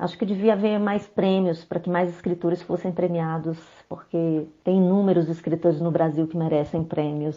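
A woman with a fairly low pitch speaks in a monotone, flat intonation with hardly any pauses. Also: moderate pace. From Brazil, Belo Horizonte, Minas Gerais. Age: 40s. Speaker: poet. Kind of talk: interview.

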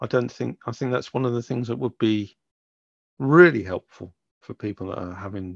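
A man with an unremarkable speaking voice talks fairly quickly in a fairly low pitch. His intonation is lively, and the sound is dry and close with no echo. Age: 60s. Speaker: podcast co-host. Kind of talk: casual chat.

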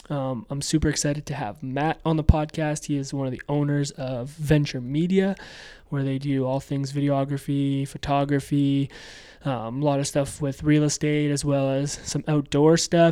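A man's normal speaking voice with a Canadian accent, fairly high in pitch, at a moderate pace and with fairly even intonation. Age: 20s. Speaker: podcast host. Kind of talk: casual interview chat.

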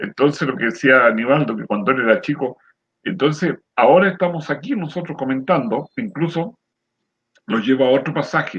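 A man speaks with an unremarkable speaking voice, fairly high in pitch. His pace is moderate and his intonation lively. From Chile, rural area near San Antonio. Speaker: retired lay preacher, program co-host. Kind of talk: religious discussion.

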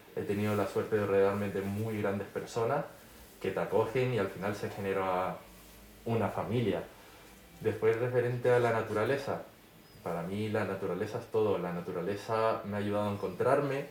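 A man with a Canarian accent speaks at a moderate pace and fairly low pitch, with fairly even intonation, audible room echo and noticeable background noise. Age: 30s. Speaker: social media influencer. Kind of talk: interview.

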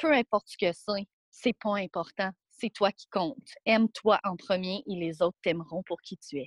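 A woman with an ordinary speaking voice talks at a fairly slow pace and medium pitch, with ordinary pitch variation. Her loudness swings widely, and the sound is dry and close with no echo. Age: 20s. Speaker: guest sharing life story. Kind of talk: testimony.

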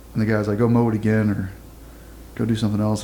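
A man with a Texan accent talks in a fairly low voice. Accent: Texan (US Southern). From southeast Texas. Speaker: former navy SEAL and military dog handler. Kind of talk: interview, casual storytelling.

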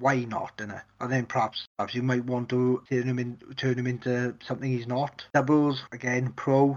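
A man at medium pitch with a Welsh accent, talking at a moderate pace. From Wales. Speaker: podcast host. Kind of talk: casual chat.

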